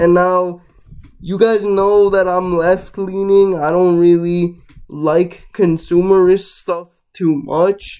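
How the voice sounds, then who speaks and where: A man speaks very slowly at a high pitch, his tone dark and mellow. His intonation stays monotone and flat against a quiet background. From Guatemala. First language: Spanish. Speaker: YouTuber; vlogger. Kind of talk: casual vlog commentary. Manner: casual, with fillers. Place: home room. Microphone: webcam.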